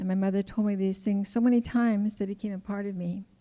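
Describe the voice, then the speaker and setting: A woman's medium-pitched voice with a dark, mellow tone. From Coast Salish, Pacific Northwest. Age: 60s. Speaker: community elder. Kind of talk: personal storytelling. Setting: stage with audience.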